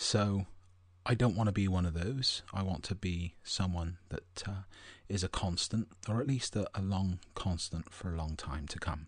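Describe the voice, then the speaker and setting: Whispering, a man speaks at a fairly slow pace. The background is quiet. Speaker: spiritual podcast host. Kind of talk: podcast monologue.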